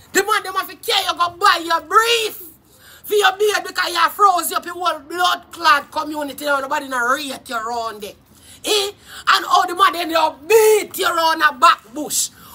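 The speaker has a Jamaican accent and an animated tone. The pace is moderate. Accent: Jamaican Patois. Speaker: YouTube live streamer. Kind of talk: casual live-stream rant. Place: garden. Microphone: phone near.

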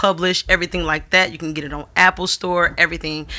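With a bright, sharp tone, a woman speaks at a fairly low pitch over a quiet background. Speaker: podcast host. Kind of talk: casual podcast talk. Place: studio. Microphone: studio mic.

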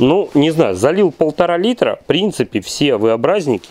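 His pitch swings very widely as the man speaks. The sound is dry, with no echo. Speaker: generator repair workshop owner reviewing equipment. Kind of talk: product review tutorial. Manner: halting. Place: workshop. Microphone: phone near.

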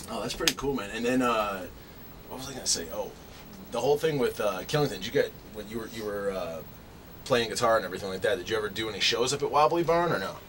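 A man talks fast in a fairly low, fairly bright voice with ordinary pitch variation. Faint background noise sits behind him.

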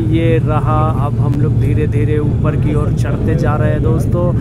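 The man talks at a fairly slow pace amid loud background noise. No echo colors the dry sound. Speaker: travel vlogger. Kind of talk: casual vlog chat. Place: plane. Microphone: phone near.

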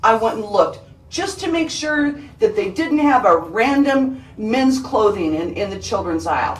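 With music in the background, a woman speaks in a high pitch with very wide pitch swings. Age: 50s. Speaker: police detective. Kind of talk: police interrogation. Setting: interrogation room. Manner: confrontational.

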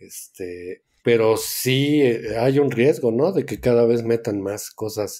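This man speaks at a very slow pace, his medium pitch moving with ordinary variation. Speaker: board game podcast co-host. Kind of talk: casual chat.

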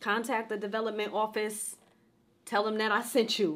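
Her pitch fairly high, a woman speaks at a moderate pace with monotone, flat intonation. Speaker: university professor. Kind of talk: commencement speech. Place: home room.

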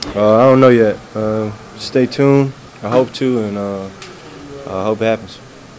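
With light background noise, a man speaks at a moderate pace and fairly even intonation, leaving long, frequent pauses. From United States. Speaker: professional basketball player. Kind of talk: interview answer. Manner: soft-spoken.

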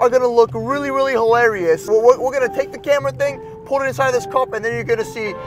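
A man talks at a very fast pace with clear music behind him. The sound is dry, with no echo. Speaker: vlogger. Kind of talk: casual vlog chat. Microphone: phone near.

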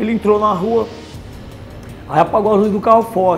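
Music plays in the background as the speaker moves at a fairly quick pace with ordinary pitch variation. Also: man. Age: 50s. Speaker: former criminal, prison inmate. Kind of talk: interview answer. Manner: casual colloquial storytelling. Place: meeting room. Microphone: lapel.

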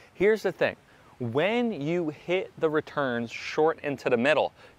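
The speech moves at a fairly slow pace in a dry sound with no echo. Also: man. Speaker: pickleball coach. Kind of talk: tutorial. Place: stadium.

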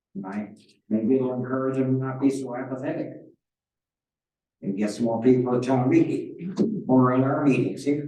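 A man's medium-pitched voice with a dark, mellow tone, ordinary pitch variation and long, frequent pauses, with audible room echo. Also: moderate pace. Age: 70s. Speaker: select board member. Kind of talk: town board meeting discussion.

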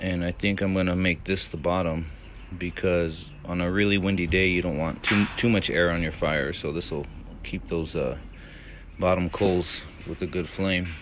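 Moderate pace with light background noise. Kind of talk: tutorial. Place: street. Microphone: phone near.

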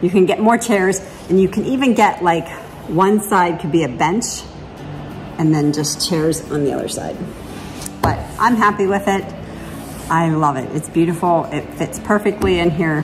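Over music in the background, a woman talks at a moderate pace with ordinary pitch variation and long, frequent pauses. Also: fairly low pitch for a woman. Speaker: vlogger. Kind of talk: casual vlog chat. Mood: pleased, relaxed. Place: home room. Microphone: phone near.

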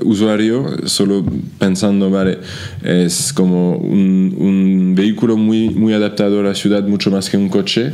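A man with a French accent speaks at a fairly slow pace in a fairly low pitch, his loudness very even. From France. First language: French (speaking Spanish). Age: 30s. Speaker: startup founder and CEO; guest. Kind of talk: interview. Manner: halting, frequent repetitions. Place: office. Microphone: studio mic.

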